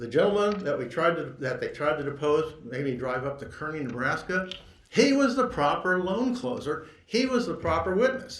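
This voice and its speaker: A man's high voice swings very widely in pitch against audible room echo. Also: moderate pace. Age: 60s. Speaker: lawyer. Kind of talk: court argument. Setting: courtroom. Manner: halting.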